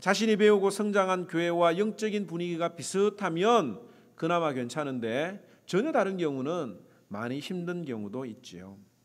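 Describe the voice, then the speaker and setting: Very wide pitch swings mark this man's high voice. He talks at a moderate pace. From South Korea, Gyeongsang. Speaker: pastor. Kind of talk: sermon.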